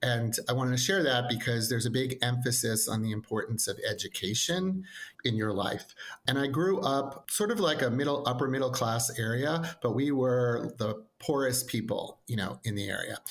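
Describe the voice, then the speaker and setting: This man has an American accent and a medium pitch. He speaks at a moderate pace with ordinary pitch variation. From New York, Long Island (Nassau-Queens border). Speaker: educational consultant. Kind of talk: podcast interview.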